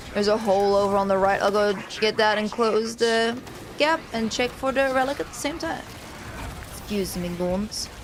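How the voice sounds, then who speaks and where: Noticeable background noise runs under the speech. The pace is moderate, with ordinary pitch variation. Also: woman. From Netherlands, moved to New Zealand at about seven. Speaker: gaming streamer. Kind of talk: casual gameplay chat.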